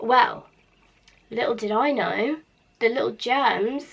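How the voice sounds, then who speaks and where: Over noticeable background noise, a woman with a British accent speaks at a fairly slow pace in an animated tone with ordinary pitch variation. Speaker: beauty vlogger. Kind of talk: casual vlog chat. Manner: chatty, animated.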